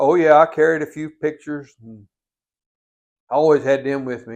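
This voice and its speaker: Speaking with a North Carolina accent, a man uses a fairly high pitch. His pace is fairly quick against a quiet background. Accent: Southern US (North Carolina). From Catawba County, North Carolina. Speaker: Vietnam War veteran. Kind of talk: oral history interview answer.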